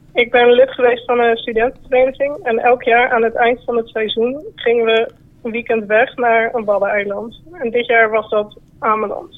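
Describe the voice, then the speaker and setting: At a moderate pace, a woman with a high-pitched voice speaks in a fairly even tone. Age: 20s. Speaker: caller. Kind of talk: telling an anecdote.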